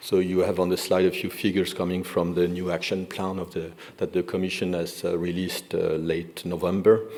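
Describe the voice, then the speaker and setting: Amid noticeable background noise and audible room echo, a man with a French accent and a very deep, low voice talks at a fairly quick pace in a monotone, flat intonation. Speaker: energy industry representative. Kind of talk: conference presentation. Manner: halting, many fillers.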